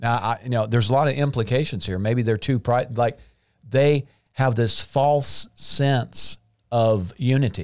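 This man talks at a fairly slow pace, his medium pitch showing ordinary pitch variation. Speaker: podcast host. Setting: studio. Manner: excited, animated.

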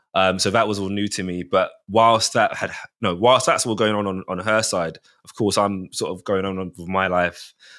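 With a South London accent, a man speaks in a fairly low pitch with fairly even intonation. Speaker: father. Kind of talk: casual chat.

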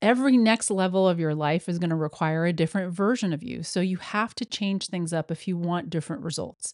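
Hers is an unremarkable speaking voice, medium in pitch with ordinary variation, delivered at a moderate pace in a dry, close sound with no echo. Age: 50s. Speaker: podcast host, yoga teacher. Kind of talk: solo monologue, motivational tips.

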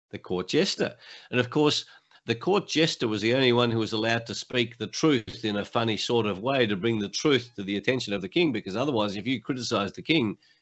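Talking very fast, a man speaks with an Australian accent. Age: 70s. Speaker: motivational speaker and coach, former lawyer. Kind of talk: interview.

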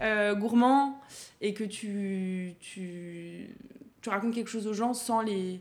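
Audible room echo around very slowly delivered speech with fairly even intonation. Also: woman, medium pitch for a woman. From Burgundy, France (Dijon, Auxerre). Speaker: chef. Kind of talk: interview.

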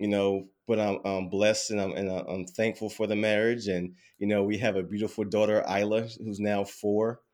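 Over a very clean recording with a silent background, a man with a fairly low pitch talks at a moderate pace in a monotone, flat intonation. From US South, Durham, North Carolina. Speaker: financial coach. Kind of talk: casual interview. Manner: hesitant with fillers and repetitions.

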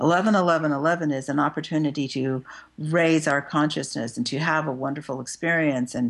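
Speaking at a moderate pace, the woman has a very deep, low pitch. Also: quiet background. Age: 60s. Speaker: clinical psychologist and spiritual author. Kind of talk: interview.

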